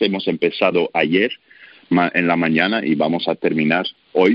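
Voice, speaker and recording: A man speaks at a very slow pace. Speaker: baker, sourdough expert. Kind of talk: radio interview. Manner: halting, with filler sounds.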